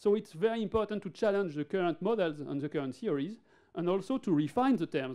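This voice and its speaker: In a French accent, a man talks at a very fast pace with a high pitch, a dark, mellow tone and lively intonation. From France. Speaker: neurologist. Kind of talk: conference lecture. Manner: halting, with many fillers and repeated words.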